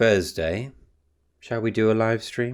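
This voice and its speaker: Pitched fairly low, a man talks in a British accent. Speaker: booktuber and painter. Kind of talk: casual vlog chat.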